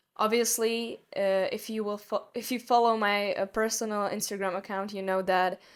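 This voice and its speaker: A woman with a Czech accent speaks at a medium pitch and a moderate pace in a monotone, flat intonation, on a very clean recording with a silent background. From Czech Republic. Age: young. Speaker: podcast host. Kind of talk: solo podcast monologue. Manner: halting.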